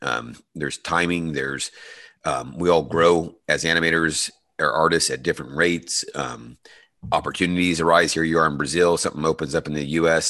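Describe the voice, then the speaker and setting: A man's very deep, low voice with vocal fry, a bright, sharp tone, fairly even intonation and a quiet background. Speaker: podcast host and animator. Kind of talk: interview.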